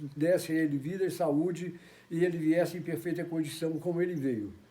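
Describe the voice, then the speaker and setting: Fairly even in intonation, a man with a dark, mellow tone and a high pitch speaks at a moderate pace. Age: 70s. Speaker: church member giving testimony. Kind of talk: testimony. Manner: halting.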